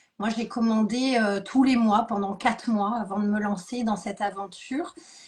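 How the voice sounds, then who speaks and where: Somewhat breathy speech with fairly even intonation. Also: woman, fairly high pitch for a woman, moderate pace. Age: 40s. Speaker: beauty product seller, former dance teacher. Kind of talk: live stream interview. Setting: online live stream.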